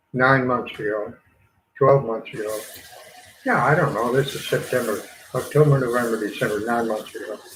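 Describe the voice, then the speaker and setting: With an American accent, a man speaks at a moderate pace in a medium pitch, his tone relaxed and his intonation fairly even. Long, frequent pauses break his speech, and the room echo is audible. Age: 70s. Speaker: gardening channel host. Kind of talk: casual livestream chat. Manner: relaxed, rambling.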